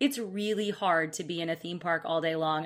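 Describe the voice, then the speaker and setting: Fairly quick and fairly low-pitched, a woman speaks with an American accent. Her tone is bright and sharp, and her pitch varies an ordinary amount. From Alabama, US South. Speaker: travel expert, co-presenter. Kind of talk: casual chat. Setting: live virtual seminar recording.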